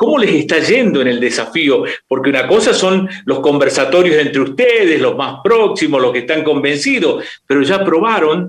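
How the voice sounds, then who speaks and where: A man with a fairly high pitch swings very widely in pitch at a moderate pace, with audible room echo. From Argentina, Tucumán. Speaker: radio journalist. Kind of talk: interview questions. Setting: video call.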